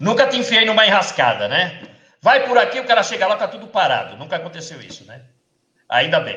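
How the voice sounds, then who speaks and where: A man speaks in a raised, projected voice at a high pitch and fairly quick pace. His intonation is lively, with big swings in loudness. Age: 60s. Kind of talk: live stream interview. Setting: Facebook live video call.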